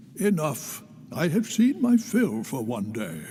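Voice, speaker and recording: Someone performs a put-on character voice at a fairly slow pace with very wide pitch swings. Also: man, fairly high pitch for a man. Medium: video game. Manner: formal, measured.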